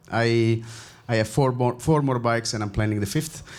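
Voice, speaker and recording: Audible room echo surrounds a voice with an Italian accent. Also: man. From Italy. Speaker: Kubernetes contributor. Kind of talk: panel discussion. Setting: stage with audience.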